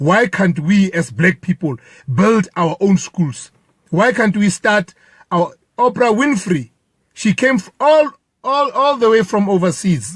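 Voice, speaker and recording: With a Lesotho accent, a man speaks fairly slowly at a high pitch, his voice making very wide pitch swings in a dry, close recording with no echo. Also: very even loudness. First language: Sesotho. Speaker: protester. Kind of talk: impromptu statement. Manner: halting.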